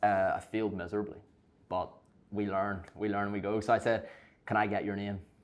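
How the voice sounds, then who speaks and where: Pausing long and often, a man with a Belfast accent speaks at a fairly low pitch. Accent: Belfast Northern Irish. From Northern Ireland, Belfast. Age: young. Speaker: content creator and online fitness coach. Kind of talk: casual chat. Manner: very fast; animated.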